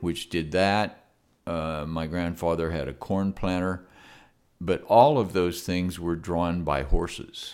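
A man with an American accent speaks at a very slow pace in a very deep, low voice. His intonation is fairly even, and the recording is very clean with a silent background. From US, rural farm. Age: 80s+. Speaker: retired farmer, host's father. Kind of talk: casual interview, reminiscing.

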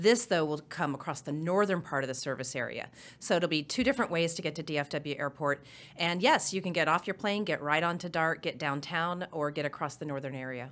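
The speaker has an American accent and a fairly quick pace. The recording is very clean with a silent background. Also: woman, very deep, low pitch for a woman, ordinary pitch variation. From Oklahoma. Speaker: transit agency finance executive. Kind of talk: interview.

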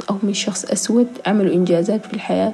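A woman's medium-pitched voice, with ordinary pitch variation, comes through over clear background noise. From South Sudan, raised in Khartoum, Sudan. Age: 20s. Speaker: fashion model and social media creator. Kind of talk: personal testimony interview.

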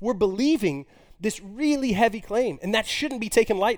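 On a very clean recording with a silent background, a man with an American accent uses a high pitch and very wide pitch swings. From Texas. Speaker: college pastor. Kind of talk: sermon.

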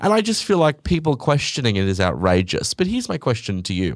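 A man with an Australian accent and very wide pitch swings, on a very clean recording with a silent background. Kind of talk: casual chat. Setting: studio. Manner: casual, swearing, rambling.

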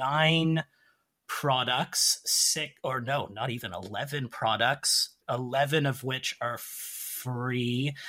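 On a very clean recording with a silent background, a man speaks at a fairly high pitch. He has an unremarkable speaking voice and ordinary pitch variation. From Canada. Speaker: English teacher and template creator. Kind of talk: casual interview.

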